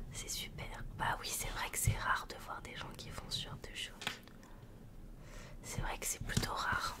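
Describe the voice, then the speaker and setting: Over loud background noise, a soft-spoken woman talks at a very slow pace. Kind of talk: soft ASMR role-play chat. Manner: soft, close-mic ASMR murmur. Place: home room. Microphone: studio mic.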